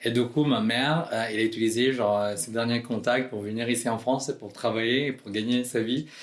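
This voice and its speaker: This man speaks at a fairly quick pace. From Philippines. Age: 20s. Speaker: drag queen. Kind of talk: podcast interview. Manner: hesitant, many fillers.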